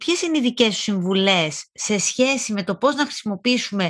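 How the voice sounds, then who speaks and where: Her fairly high pitch carries lively intonation as the woman speaks. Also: quiet background. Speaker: podcast host. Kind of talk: interview.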